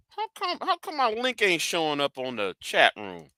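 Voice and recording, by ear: A man's fairly high voice, clear and smooth yet bright and sharp, swings very widely in pitch at a moderate pace. The sound is dry and close with no echo, on a very clean recording with a silent background.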